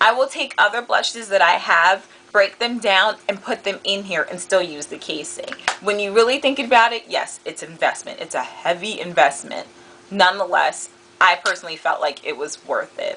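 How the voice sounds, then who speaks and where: Noticeable background noise sits behind a woman with a medium pitch. She speaks at a moderate pace with lively intonation. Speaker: beauty vlogger. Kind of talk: product review. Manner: animated.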